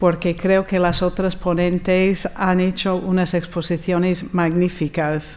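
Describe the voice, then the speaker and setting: Speaking at a fairly slow pace, a woman with an American accent has a medium pitch. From US, Rochester, New York. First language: English (speaking Spanish). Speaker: architect. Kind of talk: conference talk. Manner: hesitant, with fillers.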